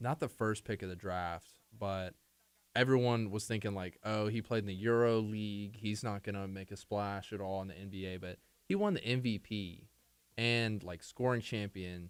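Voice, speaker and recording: Speaking at a fairly quick pace, a man has an unremarkable speaking voice, fairly low pitch and fairly even intonation. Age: 20s. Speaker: student radio DJ. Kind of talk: casual chat.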